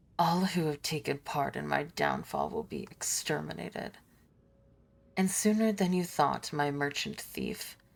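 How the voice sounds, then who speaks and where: Hissing and menacing in tone, a put-on character voice speaks at a low-to-middle pitch and a moderate pace. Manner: hissing through clenched teeth.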